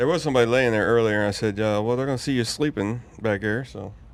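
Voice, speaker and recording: A man with a mid-range pitch and ordinary pitch variation rattles off his words very fast. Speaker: motorcycle podcast host. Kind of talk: casual chat. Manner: loud.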